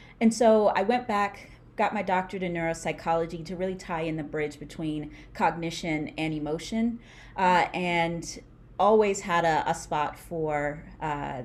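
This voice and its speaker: Speaking in a New York accent, a woman uses fairly low pitch with ordinary variation at a moderate pace. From US Northeast (Brooklyn, New York). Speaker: neuropsychologist and speech pathologist. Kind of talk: interview conversation. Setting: online call.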